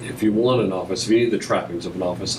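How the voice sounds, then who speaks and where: Against noticeable background noise and audible room echo, a man talks at a fairly low pitch with ordinary pitch variation. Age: 60s. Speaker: attorney in audience. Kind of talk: casual chat.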